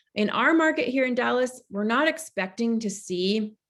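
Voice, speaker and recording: A woman uses an ordinary speaking voice at a moderate pace, with lively intonation. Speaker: real estate agent. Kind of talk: team meeting presentation.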